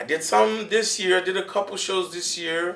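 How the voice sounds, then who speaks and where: Speaking with a Haitian accent at a moderate pace, a man makes very wide pitch swings over noticeable background noise. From Miami, Florida, Haitian-American household. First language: Haitian Creole. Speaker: comedian. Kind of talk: casual interview chat.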